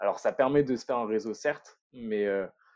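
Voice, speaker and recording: At a moderate pace, a man speaks with medium pitch and a dark, mellow tone. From northern France, Lille area. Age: 20s. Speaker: entrepreneur, urban spirulina farmer. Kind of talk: casual interview. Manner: hesitant, many repetitions.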